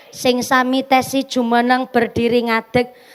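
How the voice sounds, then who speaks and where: A woman speaks at a very slow pace in a high pitch, with monotone, flat intonation. Noticeable background noise runs underneath. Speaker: female Islamic preacher. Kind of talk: religious sermon. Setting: outdoor gathering in rain with PA system. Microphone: echo removed from PA on request.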